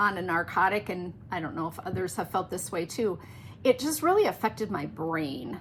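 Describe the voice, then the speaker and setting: A woman's voice with vocal fry and very wide pitch swings at a moderate pace. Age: 60s. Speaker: knitting podcast host. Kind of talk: casual chat. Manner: halting.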